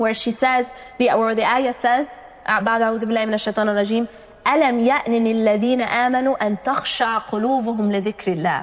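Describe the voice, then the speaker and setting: A woman talks at a moderate pace in a fairly high pitch, her intonation fairly even and her loudness very even. Noticeable background noise runs under her voice. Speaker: Islamic lecturer. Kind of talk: religious lecture.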